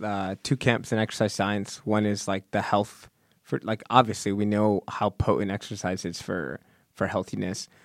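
A man's fairly low, ordinary speaking voice at a moderate pace, dry and close with no echo on a very clean recording with a silent background. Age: 20s. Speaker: PhD student in exercise physiology. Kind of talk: casual chat.

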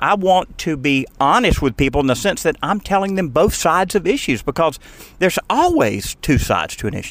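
A man with an American accent talks at a fairly quick pace. His high pitch swings very widely. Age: 60s. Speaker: radio host and energy regulator. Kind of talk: casual interview. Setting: in a car.

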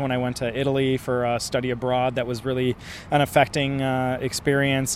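Background noise is noticeable throughout. Through it comes a man's voice. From Milwaukee, US Midwest. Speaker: artist. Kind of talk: interview. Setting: outdoors.

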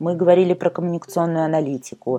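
A woman's very deep, low voice with a dark, mellow tone. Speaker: podcast host, communications consultant. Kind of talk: solo podcast monologue. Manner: fast.

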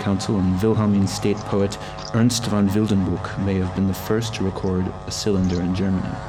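A man's fairly low, monotone voice with flat intonation at a fairly slow pace, music in the background. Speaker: narrator reading a text. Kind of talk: scripted narration reading aloud in English.

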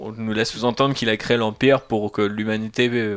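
This man speaks at a fairly low pitch. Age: 30s. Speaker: podcast host. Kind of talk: casual chat.

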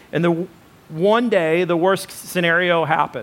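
Speaking at a moderate pace, a man with a high-pitched voice sounds animated, his pitch varying in an ordinary way. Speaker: preacher. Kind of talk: sermon. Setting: church. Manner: animated, conversational preaching with audience interaction; colloquial, hesitant with fillers.

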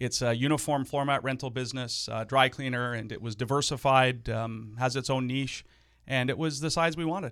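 A man with a plain, everyday voice speaks at a fairly quick pace and medium pitch. Intonation is fairly even, and the recording is very clean with a silent background. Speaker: small business owner and real estate investor. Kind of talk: casual interview.

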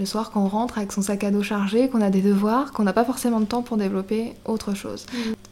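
A woman's fairly high voice, flat and monotone, at a very fast clip with hardly any pauses, over noticeable background noise. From Brittany, France. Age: 20s. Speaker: shop owner. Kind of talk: interview.

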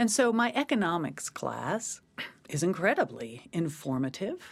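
This woman's medium-pitched voice moves through very wide pitch swings. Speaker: university provost. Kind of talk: commentary.

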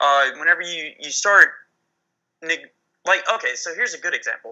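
A man with an American accent talks at a moderate pace, his loudness swinging widely. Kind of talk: casual political discussion. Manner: halting, many fillers.

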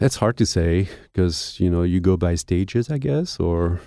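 With a French accent, a man speaks at a very deep, low pitch in a dark, mellow tone. His pace is fairly slow, his pitch variation ordinary, and the background quiet. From France. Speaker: baker and bakery owner. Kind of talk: interview. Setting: studio.

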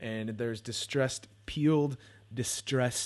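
A man with an American accent and ordinary pitch variation, against a quiet background. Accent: sometimes sounds New York. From San Francisco Bay Area. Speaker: podcast host. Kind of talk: casual solo monologue. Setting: home bedroom.

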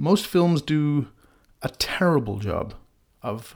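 In a very clean recording with a silent background, a man with an English accent speaks with lively intonation. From England. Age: 30s. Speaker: podcast host. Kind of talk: personal storytelling.

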